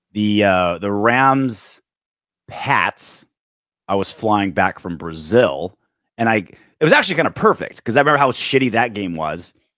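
On a very clean recording with a silent background and a dry, close sound with no echo, the speaker moves at a moderate pace with ordinary pitch variation. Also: man. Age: 40s. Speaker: sports podcast host. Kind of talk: casual chat.

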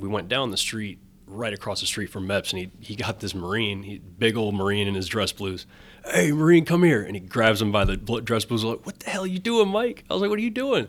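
A man's fairly low voice with lively intonation, a plain, everyday voice, a fairly quick pace and an American accent. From US Midwest, Wisconsin (Janesville). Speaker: ice cream vendor, former Marine. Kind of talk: casual interview.

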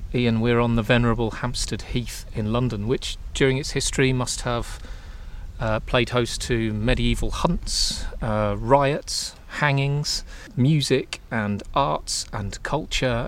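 Noticeable background noise runs through the clip. The pace is very slow. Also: man. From England, the fens. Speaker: podcast host. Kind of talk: casual chat. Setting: outdoors.

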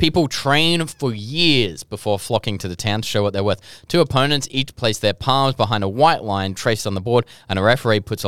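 A man with an Australian accent, fairly low in pitch, fairly quick in pace, with lively intonation, on a very clean recording with a silent background. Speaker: podcast host. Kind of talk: casual chat. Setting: studio.

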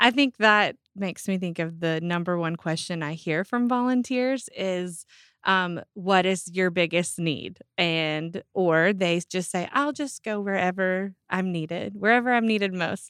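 In a very clean recording with a silent background, a woman speaks fairly slowly with an American accent in a normal speaking voice. Her pitch is medium, with ordinary pitch variation. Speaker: church volunteer coordinator. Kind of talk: casual chat.

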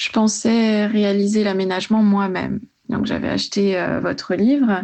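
A woman is speaking. She talks at a very slow pace. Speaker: pharmacy student. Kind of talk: voice message. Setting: voice message.

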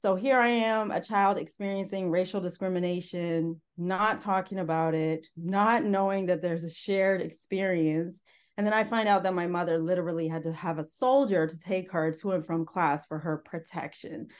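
An unremarkable speaking voice moves at a moderate pace with ordinary pitch variation and hardly any pauses. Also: woman, medium pitch for a woman. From Northern Ontario, Canada. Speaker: antiracism educator and former park interpreter. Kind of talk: interview.

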